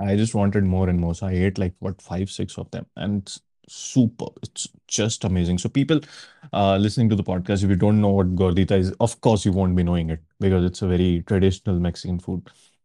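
A man's very deep, low voice has a dark, mellow tone and a dry, close sound with no echo. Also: fairly quick pace. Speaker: podcast co-host. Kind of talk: casual chat. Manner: animated.

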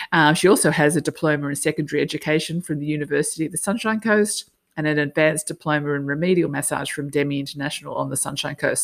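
In an Australian accent, a woman talks at a very fast pace with a very deep, low pitch and fairly even intonation. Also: very clean recording, silent background. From Australia, Sydney. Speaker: podcast host, life and business coach. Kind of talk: casual interview chat.

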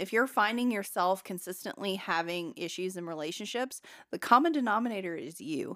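Her pitch sits in the medium range, swinging very widely. The woman keeps a moderate pace. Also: very clean recording, silent background. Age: 30s. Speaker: podcast host. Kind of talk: casual chat.

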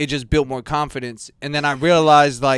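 In a very clean recording with a silent background, a man with a plain, everyday voice and fairly high pitch speaks at a moderate pace. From Southern California, West Covina area. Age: 30s. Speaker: video creator and editor. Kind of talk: casual chat.

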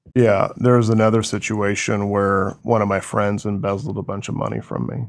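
A man with an American accent speaks at a moderate pace in an unremarkable speaking voice, fairly low in pitch with fairly even intonation, on a very clean recording with a silent background. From rural Washington State. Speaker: businessman. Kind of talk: interview. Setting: podcast studio.

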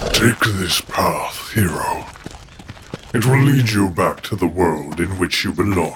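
Using a put-on character voice, a man speaks in a fairly low pitch at a fairly slow pace. His pitch varies in an ordinary way over clear background noise. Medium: audio drama. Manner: stern, serious.

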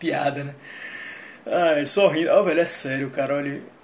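A man talks at a fairly quick pace in a fairly high pitch, with a flat monotone. Room echo can be heard. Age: 30s. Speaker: livestreamer. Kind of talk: casual livestream monologue.

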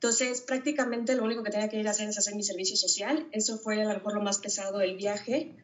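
A woman's voice at a fairly high pitch. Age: 30s. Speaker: dentist and single mother. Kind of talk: interview testimony. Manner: hesitant, many fillers.

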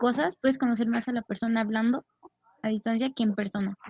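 In a dry, close sound with no echo, a woman talks with ordinary pitch variation. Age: 20s. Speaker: animation student. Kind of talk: casual chat.

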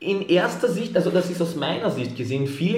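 A man is speaking. His voice sits high for a man. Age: 20s. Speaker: fitness entrepreneur. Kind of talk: motivational pep talk; podcast interview.

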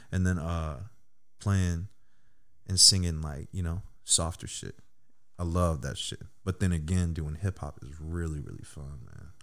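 A man speaks at a very deep, low pitch with fairly even intonation. His loudness swings widely, and he leaves long, frequent pauses. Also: fairly slow pace. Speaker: musician and barber. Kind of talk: casual chat.

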